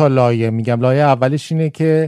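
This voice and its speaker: On a very clean recording with a silent background, a man talks at a moderate pace with a dark, mellow tone. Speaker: farmer and scientist. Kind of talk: casual chat.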